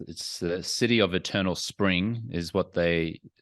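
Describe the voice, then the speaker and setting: In an Australian accent, a man with a very deep, low pitch talks at a moderate pace against a quiet background. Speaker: entrepreneur and former sports anchor. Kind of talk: interview.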